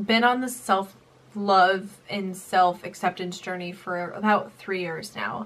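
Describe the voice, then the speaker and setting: A woman's very slow delivery at medium pitch, with fairly even intonation. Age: young. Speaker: YouTuber and nursing student; YouTuber. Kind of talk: story time vlog. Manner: casual. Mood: emotional, recounting painful memory. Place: home room.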